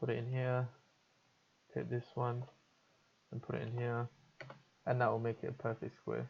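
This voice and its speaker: A man, medium-pitched and somewhat breathy, at a moderate pace with fairly even intonation and long, frequent pauses. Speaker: video editing tutor streamer. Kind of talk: tutorial. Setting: live stream. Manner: casual, hesitant with fillers.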